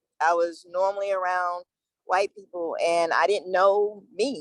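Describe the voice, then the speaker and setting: Speaking at a fairly slow pace and a medium pitch, a woman with an American accent has an ordinary speaking voice, recorded with a dry, close sound and no echo. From US, military family, parents from the South. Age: 40s. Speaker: university staff member. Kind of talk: panel discussion. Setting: video call.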